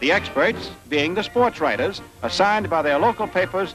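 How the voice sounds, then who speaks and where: A high-pitched man at a fairly quick pace, lively intonation, music in the background. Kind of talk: newsreel narration.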